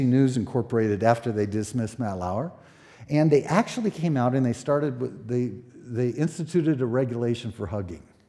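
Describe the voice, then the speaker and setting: In a very clean recording with a silent background, a man speaks at a moderate pace and medium pitch with a dark, mellow tone. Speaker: pastor. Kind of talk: sermon. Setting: church. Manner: halting.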